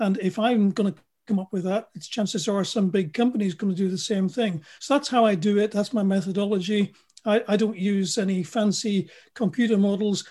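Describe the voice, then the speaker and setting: A man with a British accent, high in pitch with a dark, mellow tone, fairly even in intonation and fairly quick in pace. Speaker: futurologist and engineer. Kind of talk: interview.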